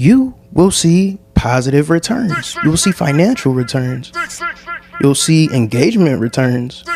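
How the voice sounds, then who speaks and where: A man with an American accent speaks at a fairly slow pace and a fairly high pitch. His pitch swings very widely as music plays in the background. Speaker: podcast host. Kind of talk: solo podcast monologue. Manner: casual.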